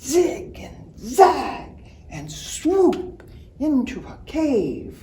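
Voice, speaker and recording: A woman whispering very slowly in a put-on character voice, with light background noise. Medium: read story.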